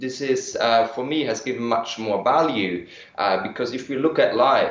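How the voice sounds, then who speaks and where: With a German accent, a man speaks at a moderate pace and medium pitch with ordinary pitch variation, amid noticeable background noise and audible room echo. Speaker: energy healing practitioner. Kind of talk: interview. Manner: hesitant, with fillers.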